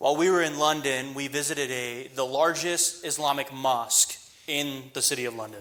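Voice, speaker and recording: A man with a strong American accent, a fairly high pitch, ordinary pitch variation and a moderate pace. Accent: thick American. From West Texas. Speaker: missionary preacher. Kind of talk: sermon. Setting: church. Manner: paced in short phrases for interpreter.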